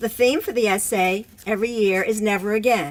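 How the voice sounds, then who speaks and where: A woman's ordinary speaking voice with an American accent, fairly high in pitch, with ordinary pitch variation and a moderate pace. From Virginia, Richmond. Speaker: attorney and board co-president. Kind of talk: award presentation speech.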